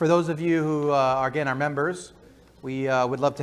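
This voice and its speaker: A man with fairly even intonation. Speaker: church announcer. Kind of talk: church announcements. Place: church. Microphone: lapel.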